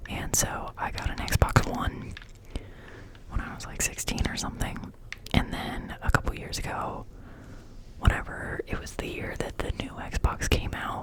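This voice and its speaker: A woman whispers at a fairly slow pace, with long, frequent pauses, big swings in loudness and noticeable background noise. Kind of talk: ASMR ramble to camera. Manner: casual, chatty.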